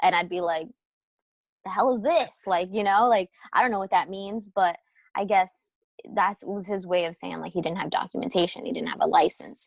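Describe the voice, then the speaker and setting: A woman with an American accent speaks at a moderate pace. Her medium pitch shows ordinary variation. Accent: sounds American even in Spanish. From New Jersey, US (born in Peru, came at two). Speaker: film editor and filmmaker. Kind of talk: interview, casual chat. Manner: casual, many fillers and restarts.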